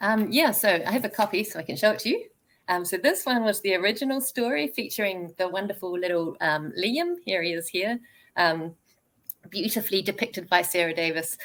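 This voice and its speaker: With a New Zealand accent, a woman talks at a medium pitch with ordinary pitch variation. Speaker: children's author. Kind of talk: interview; reading aloud.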